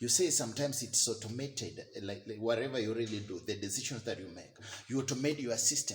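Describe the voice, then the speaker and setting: A man speaks very fast in a Kenyan accent, with ordinary pitch variation and big swings in loudness. Noticeable background noise runs behind him. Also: medium pitch for a man. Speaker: vlogger. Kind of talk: rant. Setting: live video. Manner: halting, repetitive.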